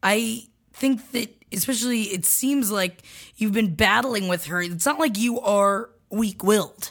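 Speaking with an American accent, a woman uses a fairly high, somewhat breathy voice. She goes at a fairly slow pace with ordinary pitch variation. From Florida. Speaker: comedy podcast co-host. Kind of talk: casual chat and advice.

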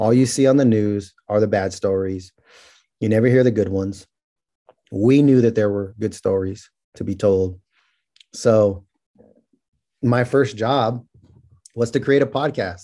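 With a dark, mellow tone and fairly low pitch, a man speaks at a fairly slow pace with ordinary pitch variation and long, frequent pauses. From California Central Valley (Merced). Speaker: criminal justice reform advocate. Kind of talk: interview.

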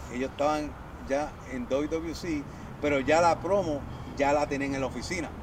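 A man with a fairly high pitch speaks at a moderate pace with long, frequent pauses. His intonation is fairly even, and there is noticeable background noise. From Puerto Rico (San Lorenzo), born in Boston. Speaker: professional wrestler. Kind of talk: interview.

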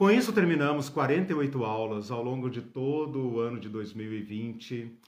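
Very slowly, a man talks at medium pitch with ordinary pitch variation and big swings in loudness, against noticeable background noise. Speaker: Bible teacher. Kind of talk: lecture.

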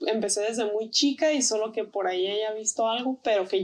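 A woman speaks at a fairly high pitch with ordinary pitch variation in an ordinary speaking voice. The recording is very clean with a silent background. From Tijuana, Mexico. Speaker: artist and textile designer. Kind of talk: interview.

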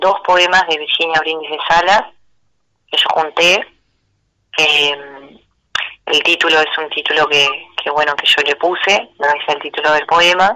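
Speaking at a fairly slow pace with long, frequent pauses, a woman uses a fairly low pitch, a bright, sharp tone and fairly even intonation. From Uruguay, Melo near the Brazilian border. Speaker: singer-songwriter. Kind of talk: interview. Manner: halting, with frequent repetitions.

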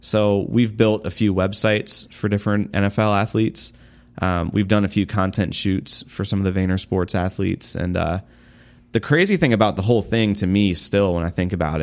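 A man talks fairly quickly in an ordinary speaking voice, his pitch moving in an ordinary way. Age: 30s. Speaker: social media agency founder. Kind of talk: interview. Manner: casual, frequent fillers and laughs.

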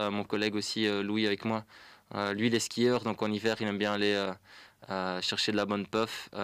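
In a very clean recording with a silent background, a man speaks fairly slowly at a fairly low pitch in a monotone, flat intonation. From Flanders, Belgium. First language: Dutch (speaking French). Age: 20s. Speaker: young cyclist, pump track builder. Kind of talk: radio interview.

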